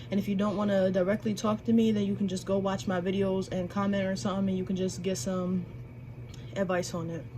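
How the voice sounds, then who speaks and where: Speaking very fast with lively intonation, a woman's medium-pitched voice rings with audible room echo. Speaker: spiritual YouTuber and tarot reader. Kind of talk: casual vlog talk. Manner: casual, unscripted.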